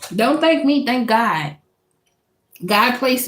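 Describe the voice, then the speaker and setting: With an animated tone, a woman speaks at a moderate pace. Her voice is somewhat breathy, with lively intonation. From Louisiana, US South. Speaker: tarot reader. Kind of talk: live stream tarot reading. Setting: live stream. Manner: casual, animated; stumbling over words.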